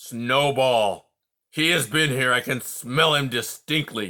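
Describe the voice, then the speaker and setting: Put-on character voice from a man, medium in pitch, at a fairly slow pace. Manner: menacing, exclaiming.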